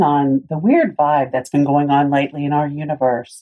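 Her voice very deep and low, a woman talks at a moderate pace. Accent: Southern US. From US South, Tennessee. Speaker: podcast host. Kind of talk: casual chat.

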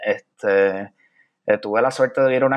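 Male speech at a moderate pace, its pitch varying in an ordinary way. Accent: Puerto Rican. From Puerto Rico, San Juan. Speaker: poet. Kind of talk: interview conversation. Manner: hesitant, many fillers.

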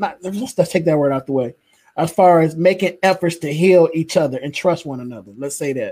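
A man's high-pitched voice with a dark, mellow tone and an American accent, fairly quick in pace, with ordinary pitch variation. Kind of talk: casual panel discussion.

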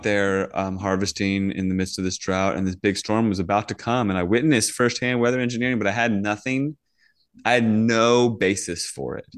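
Against a quiet background, a man with an ordinary speaking voice speaks at a moderate pace and a fairly low pitch with ordinary pitch variation. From Washington DC area / Virginia. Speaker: farmer and chemtrail activist. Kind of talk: casual interview chat.

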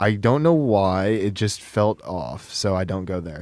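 Using a normal speaking voice, a man with a fairly low pitch talks at a fairly slow pace with lively intonation. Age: 20s. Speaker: college student and student radio technical director. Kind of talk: casual chat. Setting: studio.

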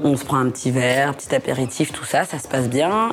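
There is noticeable background noise. Through it, a woman speaks at a very deep, low pitch. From northern France (Lille). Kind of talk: personal anecdote storytelling. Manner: casual, conversational.

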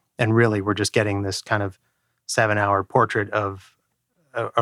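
In a very clean recording with a silent background, a man speaks at a fairly quick pace, fairly low in pitch and monotone, with flat intonation. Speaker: podcast co-host. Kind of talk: casual chat.

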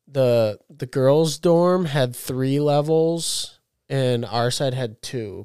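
A man's dark, mellow voice at a medium pitch, very slow pace and ordinary pitch variation, in a very clean recording with a silent background. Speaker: college student. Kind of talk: casual chat.

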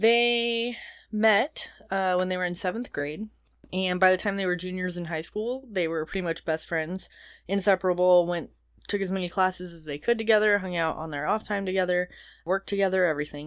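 On a very clean recording with a silent background, a woman with a normal speaking voice talks at a fairly quick pace in a medium pitch, with ordinary pitch variation. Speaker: podcast co-host. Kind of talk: casual chat, narrating a true-crime story. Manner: casual, laughs a lot.

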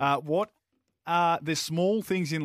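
Recorded dry and close with no echo in a very clean recording with a silent background, a man speaks with an Australian accent. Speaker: radio sports host. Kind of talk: casual radio banter.

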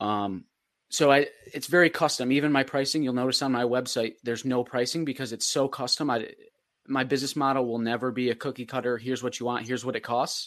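Against a quiet background, a man with an American accent talks at a very fast pace in a medium pitch. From Upstate New York (Oswego County). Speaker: marketing agency owner. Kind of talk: casual chat. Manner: enthusiastic.

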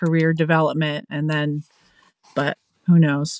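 A woman with an American accent speaks in an unremarkable speaking voice at a fairly low pitch. The recording is very clean, with a silent background. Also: dry, close sound with no echo. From Pennsylvania. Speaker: family support worker. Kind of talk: interview.

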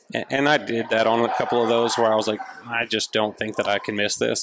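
Over noticeable background noise, the speaker talks at a fairly quick pace with an American accent. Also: man. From Oklahoma. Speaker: competitive rifle shooter. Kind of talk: casual interview.

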